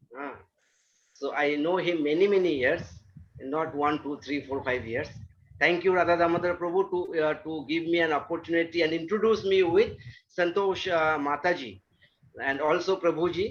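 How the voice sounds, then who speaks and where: A man with an Indian accent talks at a moderate pace and high pitch, with ordinary pitch variation and long, frequent pauses. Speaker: astrologer. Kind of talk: talk to an online devotee group. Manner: halting, many fillers.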